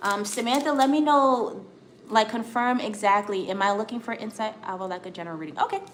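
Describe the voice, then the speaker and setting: Over noticeable background noise, a woman with an American accent talks fairly quickly at a fairly high pitch, her loudness swinging widely. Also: ordinary pitch variation. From US. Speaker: tarot reader. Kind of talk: live-stream tarot reading.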